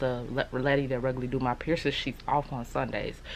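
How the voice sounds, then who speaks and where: A woman talks at a very fast pace in a very deep, low pitch, with vocal fry and fairly even intonation. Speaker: beauty and lifestyle vlogger. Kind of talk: casual vlog monologue. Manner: talking low, close to the mic. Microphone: speaking very close to the mic.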